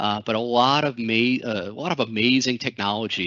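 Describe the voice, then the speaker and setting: A man talks in a medium pitch. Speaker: technology specialist. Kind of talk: webinar presentation. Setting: online webinar. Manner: many fillers and restarts.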